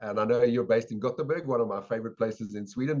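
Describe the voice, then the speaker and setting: Speaking at a very fast pace, a man with a South African accent uses lively intonation at a medium pitch. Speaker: sales and habits expert, educator. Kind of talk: podcast interview.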